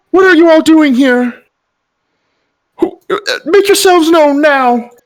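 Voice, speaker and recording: A put-on character voice, shrill, soft-spoken and high-pitched, unfolds at a fairly slow pace. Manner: commanding, demanding.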